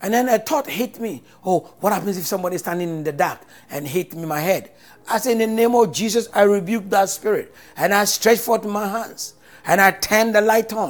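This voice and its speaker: The tone is animated and warm. Pitch varies in an ordinary way. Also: man, high pitch for a man, moderate pace. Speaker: preacher. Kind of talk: sermon with prophetic declarations and call-and-response repetition. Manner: animated, fervent, repeating phrases for emphasis; exhortative, warm, pastoral.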